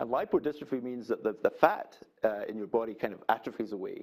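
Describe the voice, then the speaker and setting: The speaker is a man. He has a Scottish accent. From Scotland, Glasgow. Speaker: physician scientist, public lecturer. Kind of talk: public lecture. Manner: hesitant, many fillers.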